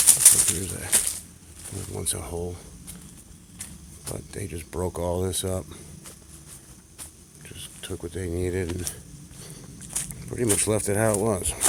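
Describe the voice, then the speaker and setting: At a moderate pace with long, frequent pauses, the speech comes through noticeable background noise. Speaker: urban explorer vlogger. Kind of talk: walking video tour narration. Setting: outdoors. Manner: soft-spoken.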